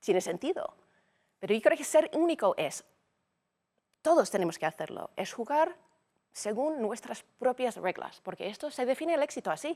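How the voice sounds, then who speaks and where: In an English accent, a woman with a high voice makes very wide pitch swings at a moderate pace, leaving long, frequent pauses in a dry, close sound with no echo. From United States. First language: English (speaking Spanish). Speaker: business executive. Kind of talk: interview conversation.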